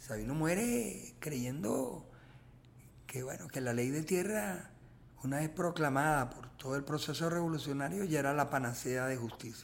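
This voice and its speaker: With audible room echo, a man speaks at a fairly slow pace. His fairly high pitch carries lively intonation. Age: 70s. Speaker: filmmaker. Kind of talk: interview. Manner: animated.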